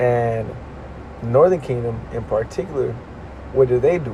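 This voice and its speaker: A man talks at a moderate speed. Behind him, background noise is noticeable. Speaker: religious teacher. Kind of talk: religious lesson. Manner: casual, conversational.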